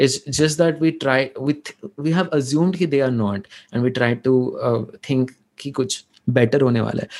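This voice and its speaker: A man speaks at a moderate pace with an Odisha accent. His pitch is fairly high for a man, with ordinary pitch variation. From India. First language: Odia. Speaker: data visualization creator. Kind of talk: casual interview chat in Hinglish.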